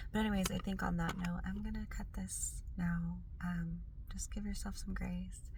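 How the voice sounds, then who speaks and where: Over noticeable background noise and audible room echo, a woman with a very deep, low pitch talks at a moderate pace with fairly even intonation. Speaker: spiritual wellness vlogger. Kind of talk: casual vlog monologue.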